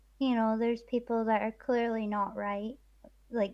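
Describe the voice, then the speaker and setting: A woman in a Scottish accent speaks at a fairly slow pace with a fairly high pitch and flat, monotone intonation against a quiet background. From east coast of Scotland. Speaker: streamer guest. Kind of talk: casual chat.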